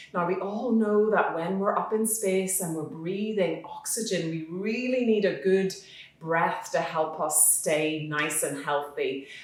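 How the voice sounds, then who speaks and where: A woman talks fairly slowly while noticeable noise carries on behind her. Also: medium pitch for a woman, ordinary pitch variation. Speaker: yoga teacher. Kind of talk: children's guided yoga class. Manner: friendly, encouraging, instructional.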